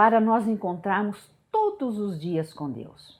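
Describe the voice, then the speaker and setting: A somewhat breathy woman at a very slow pace, on a very clean recording with a silent background. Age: 60s. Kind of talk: devotional teaching talk. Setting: home prayer room.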